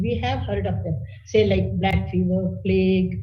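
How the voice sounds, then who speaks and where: A woman's very deep, low voice with an Indian accent, moderate pace and ordinary pitch variation, amid audible room echo and noticeable background noise. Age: 70s. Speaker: physician. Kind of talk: webinar talk.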